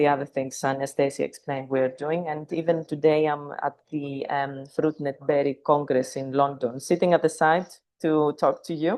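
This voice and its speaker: At a moderate pace, a woman speaks with a very deep, low pitch. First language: not English. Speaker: plant science consultant. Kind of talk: webinar talk. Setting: video call from a conference venue.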